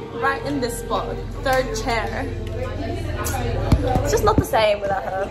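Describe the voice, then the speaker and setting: Fairly slow speech broken by long, frequent pauses, over loud background noise. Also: woman. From Australia. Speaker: university psychology student. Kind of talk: casual chat with friend. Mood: playful mock sadness. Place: cafe. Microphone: phone near.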